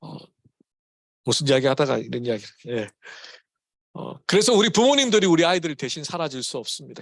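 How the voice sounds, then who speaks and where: In a Gyeongsang accent, the speaker talks at a fairly quick pace with very wide pitch swings against a quiet background. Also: man. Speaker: pastor. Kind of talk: sermon. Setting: church. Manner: casual, mixes English words into Korean.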